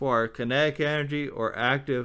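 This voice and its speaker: Very slow pace and fairly even intonation from a male speaker. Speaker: amateur theorist explaining physics ideas. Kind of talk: informal lecture. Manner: halting, with fillers.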